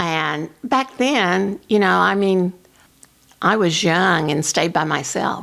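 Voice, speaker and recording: A very slow, fairly low-pitched woman's voice with an American accent. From Oklahoma. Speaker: realtor. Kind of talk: oral history interview answer.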